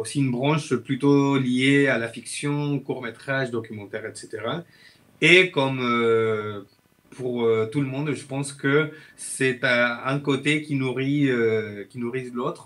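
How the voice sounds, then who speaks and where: His pitch sits in the medium range. This man talks very slowly. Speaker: filmmaker and video editor. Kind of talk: casual interview chat. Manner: halting, many hesitations.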